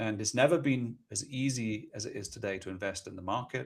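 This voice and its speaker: Somewhat breathy, a man with a London accent speaks at a medium pitch with fairly even intonation. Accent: British, sounds London and well educated. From Scotland. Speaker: ETF company executive. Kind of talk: podcast interview.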